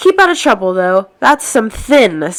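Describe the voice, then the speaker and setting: A woman's put-on character voice, fairly high, with very wide pitch swings at a moderate pace. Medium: read story. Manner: homely, gruff.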